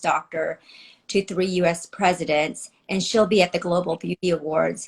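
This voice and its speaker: A woman with a slight Filipino accent, moderate pace and fairly even intonation, on a very clean recording with a silent background. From United States. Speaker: former news anchor and producer. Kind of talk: interview. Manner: articulate, polished.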